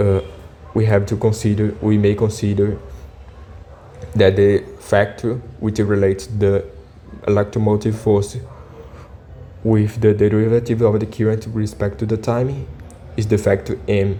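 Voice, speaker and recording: A man with a non-native accent at a moderate pace, fairly even intonation, long and frequent pauses, and noticeable background noise. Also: fairly low pitch for a man. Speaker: physics tutor. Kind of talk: tutorial. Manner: halting, many fillers.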